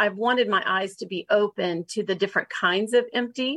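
This woman has an ordinary speaking voice, pitched at a medium level, moving at a moderate pace with fairly even intonation. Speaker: podcast host and marriage mentor. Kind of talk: interview conversation.

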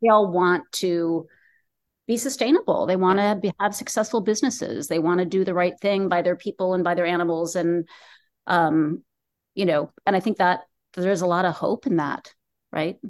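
Using an ordinary speaking voice, a woman holds a medium pitch that varies in an ordinary way. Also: moderate pace, quiet background. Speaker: documentary filmmaker. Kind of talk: casual interview.

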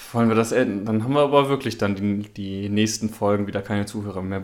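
Fairly quick in pace, this man has an unremarkable speaking voice and ordinary pitch variation. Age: 20s. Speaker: podcast co-host. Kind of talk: casual chat.

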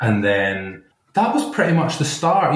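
With a Scottish accent, a man is talking. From Glasgow, Scotland. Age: 30s. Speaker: computer programmer guest. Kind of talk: casual interview.

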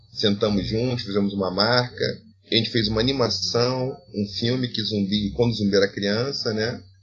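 A man's voice with music in the background. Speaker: philosophy professor. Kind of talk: interview. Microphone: poor recording quality.

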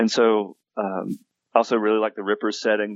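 A man speaks at a moderate pace. He talks in an Appalachian accent. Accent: Appalachian Southern US. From US South, western North Carolina (Appalachia). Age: 40s. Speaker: game author and university teacher. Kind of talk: interview. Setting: phone call.

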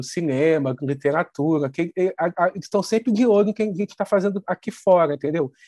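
This man's voice sits high and moves at a moderate pace, with ordinary pitch variation. The sound is dry and close, with no echo. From Brazil, Petrópolis (Rio de Janeiro state). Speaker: TV screenwriter. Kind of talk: interview.

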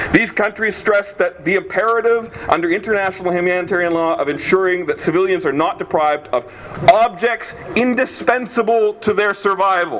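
With noticeable background noise, a man with a high pitch talks at a fairly quick pace, with hardly any pauses and ordinary pitch variation. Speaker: law student. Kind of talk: formal rally speech. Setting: outdoor rally with crowd. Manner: formal, measured, legalistic.

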